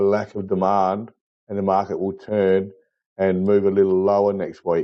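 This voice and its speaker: A fairly low-pitched man's voice in an Australian accent. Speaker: market chart analyst. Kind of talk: tutorial.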